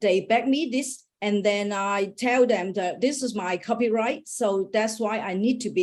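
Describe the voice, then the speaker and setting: A woman with a Hong Kong accent speaks at a moderate pace in a medium pitch with ordinary pitch variation. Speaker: startup founder. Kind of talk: Q&A after startup pitch. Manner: halting, many fillers and restarts.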